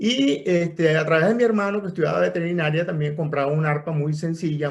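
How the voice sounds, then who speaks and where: With a Caracas accent, a man speaks at a fairly quick pace in a fairly high pitch, his intonation lively. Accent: Venezuelan Spanish (Caracas). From Venezuela (Caracas). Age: 70s. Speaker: veterinarian and harpist. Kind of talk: podcast interview. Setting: recorded via computer, no microphone. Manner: conversational storytelling with fillers.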